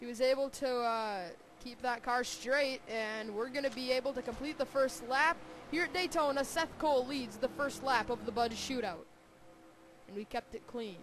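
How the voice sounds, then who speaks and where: Pitched high, a woman talks at a moderate pace with ordinary pitch variation. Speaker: sim racing commentator. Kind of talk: live commentary. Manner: animated.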